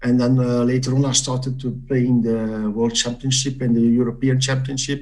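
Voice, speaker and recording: A somewhat breathy male voice at medium pitch and moderate pace. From Belgium. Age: 60s. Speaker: quiz competitor. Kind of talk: interview. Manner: halting, many fillers.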